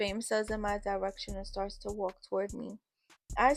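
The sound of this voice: An unforced reading voice carries fairly even intonation against a quiet background.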